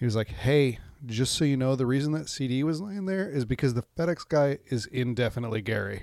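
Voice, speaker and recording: This man has a plain, everyday voice at medium pitch, with ordinary pitch variation and a fairly quick pace. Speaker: podcast co-host. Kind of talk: casual chat. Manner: laughs often.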